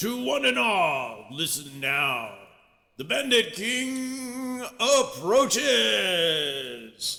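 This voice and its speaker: In a put-on character voice, a man talks very slowly at a high pitch. His voice is raised and projected. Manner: grand, proclaiming.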